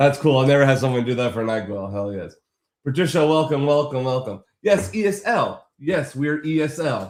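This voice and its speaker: Lively intonation and an animated tone mark this man's fairly high-pitched voice. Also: moderate pace. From Boston area, Massachusetts. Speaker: graphic design livestreamer. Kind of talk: casual livestream chat with viewers. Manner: animated, casual.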